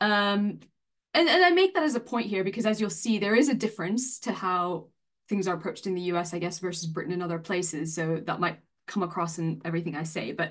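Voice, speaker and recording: A woman with an American accent speaks at a fairly quick pace in a normal speaking voice, her medium pitch showing ordinary variation against a quiet background. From US, Massachusetts. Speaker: senior academic. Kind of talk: online talk, introducing career. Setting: online video event.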